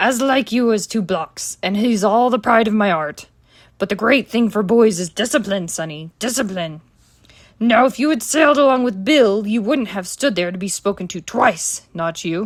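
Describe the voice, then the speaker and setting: A woman's raspy, put-on character voice at a fairly high pitch and moderate pace, in a very clean recording with a silent background. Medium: read story. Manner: fawning, sneering.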